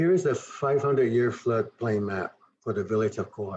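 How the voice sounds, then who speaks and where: This man's somewhat breathy voice sits at a medium pitch and shows ordinary pitch variation. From southern Arizona, Tohono O'odham Nation. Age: 60s. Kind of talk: presentation. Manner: halting, with fillers and self-corrections.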